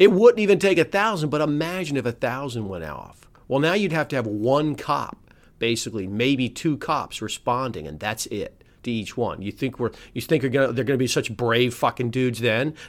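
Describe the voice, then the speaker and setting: With an American accent and an angry tone, a man talks at a moderate pace and medium pitch, his voice making very wide pitch swings on a very clean recording with a silent background. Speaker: lawyer and podcast host. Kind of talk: angry rant. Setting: solo show. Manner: angry, profane, emphatic; despondent, cynical.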